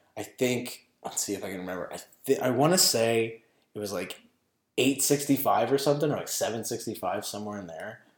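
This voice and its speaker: A man with a medium pitch speaks at a fairly quick pace in an unremarkable speaking voice. His pitch varies in an ordinary way while his loudness swings widely. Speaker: podcast co-host. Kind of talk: casual chat.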